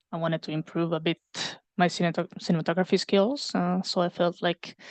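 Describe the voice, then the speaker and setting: A woman's fairly low voice, monotone and flat, at a moderate pace, with a dry, close sound and no echo. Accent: Italian. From Italy. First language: Italian. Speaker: previs artist and animation teaching assistant. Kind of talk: casual interview on livestream.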